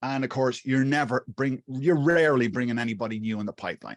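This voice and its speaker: A man with an Irish accent speaks at a medium pitch with ordinary pitch variation, in dry, close sound with no echo and a quiet background. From Ireland, Wexford (southeast). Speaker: YouTube marketing coach. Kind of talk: interview. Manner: halting, many fillers and restarts.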